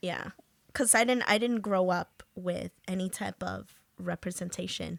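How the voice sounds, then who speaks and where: This woman talks at a fairly slow pace with a New York accent. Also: dry, close sound with no echo. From Peru, raised in South Jamaica, Queens. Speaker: podcast host. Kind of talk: casual interview chat.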